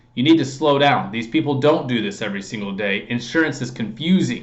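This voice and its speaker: At a fairly quick pace, a man with a medium pitch talks with lively intonation over noticeable background noise. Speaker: sales trainer for insurance agents. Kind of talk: tutorial. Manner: fast.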